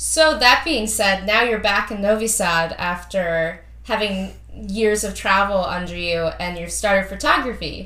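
A woman speaks with an American accent at a medium pitch. Her pace is fairly slow, with noticeable background noise behind her. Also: ordinary pitch variation. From US (New York). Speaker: podcast co-host, former cruise ship entertainer. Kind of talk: interview.

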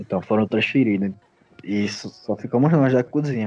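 A man speaks at a fairly slow pace with ordinary pitch variation. He has a plain, everyday voice. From Pernambuco, Brazil. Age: 20s. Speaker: graphic designer. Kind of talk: casual chat.

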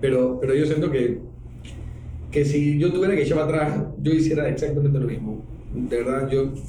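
Pausing long and often, a man talks at a moderate pace in a fairly high pitch, his intonation fairly even and his loudness very even, with audible room echo and noticeable background noise. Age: 40s. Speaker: cartoonist and TV comedy producer. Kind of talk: casual interview.

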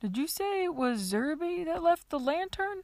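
Putting on a character voice, a woman speaks at a moderate pace in a squeaky tone with an extremely high pitch. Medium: read story. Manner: blunt, gruff.

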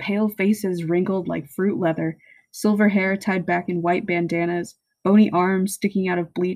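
The reading voice is unforced, with fairly even intonation. Nothing much sounds behind it.

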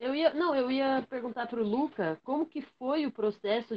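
The speaker has a normal speaking voice at a moderate pace. The intonation is lively. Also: woman. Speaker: podcast host. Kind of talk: casual chat.

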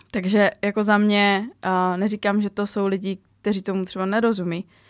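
A woman with a medium pitch speaks at a fairly quick pace in a monotone, flat intonation, in a very clean recording with a silent background and a dry, close sound with no echo. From Czechia, small town. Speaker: fitness trainer. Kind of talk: casual interview. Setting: studio.

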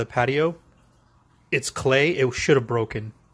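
A somewhat breathy man's voice with an American accent and fairly even intonation. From Virginia, USA. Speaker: caller. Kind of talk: voice message.

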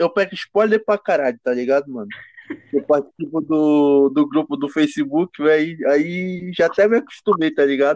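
Ordinary pitch variation runs through a man's plain, everyday voice at a moderate pace. The sound is dry and close with no echo. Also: fairly high pitch for a man. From Brazil. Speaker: amateur rapper. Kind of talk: casual chat.

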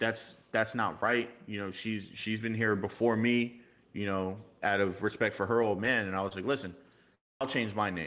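A man speaks at a moderate pace with a fairly low pitch. His intonation is fairly even, in a slight New York accent. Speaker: motorcycle club member. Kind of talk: casual chat.

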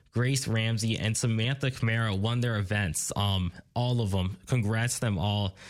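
Medium in pitch, a man talks at a fairly slow pace with ordinary pitch variation. The recording is very clean, with a silent background. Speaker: college radio sports host. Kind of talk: sports recap show. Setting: studio. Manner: filler-heavy, hesitant.

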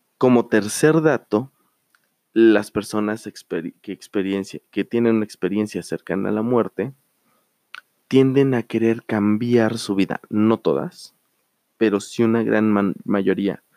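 A man's dark, mellow voice at a fairly low pitch, very slow, with long, frequent pauses, ordinary pitch variation and a dry, close sound with no echo. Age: 30s. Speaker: podcast host. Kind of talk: solo monologue storytelling. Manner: halting with fillers.

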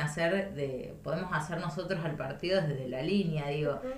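Against noticeable background noise and audible room echo, a woman talks at a fairly low pitch with ordinary pitch variation. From La Pampa, Argentina (north-east, Intendente Alvear). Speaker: provincial legislator. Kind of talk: interview. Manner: halting, many repetitions and fillers.

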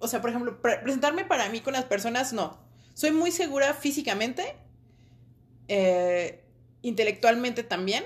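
A woman talks at a moderate pace with a high pitch. Her intonation is lively. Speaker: podcast co-host. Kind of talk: casual chat.

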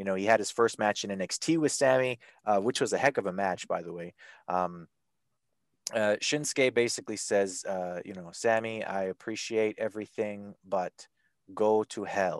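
A man with a Canadian accent speaks in an ordinary speaking voice at a fairly low pitch, moderate pace and ordinary pitch variation, his loudness swinging widely in a dry, close recording with no echo and a quiet background. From Canada. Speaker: wrestling podcast host. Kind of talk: casual chat.

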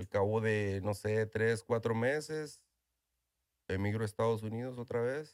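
Speaking fairly slowly with a northern Mexican accent, a man uses a medium pitch and fairly even intonation, on a very clean recording with a silent background. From northern Mexico (Ojinaga, Chihuahua). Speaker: tequila brand owner. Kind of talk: interview. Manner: halting, with repetitions.

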